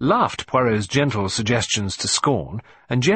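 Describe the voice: The clip is plain reading aloud, its pitch varying in an ordinary way.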